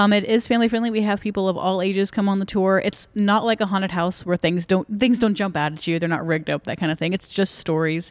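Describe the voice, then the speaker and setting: A woman with an American accent talks very fast at a medium pitch, with fairly even intonation and hardly any pauses, in a very clean recording with a silent background. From Dallas-Fort Worth, Texas. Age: young. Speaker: ghost tour guide. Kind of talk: casual interview.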